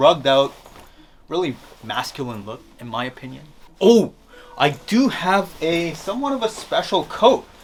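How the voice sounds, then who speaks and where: A man speaks at a moderate pace over noticeable background noise. His pitch swings very widely, and his loudness shifts a great deal. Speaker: fashion youtuber. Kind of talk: tutorial. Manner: casual, filler-heavy.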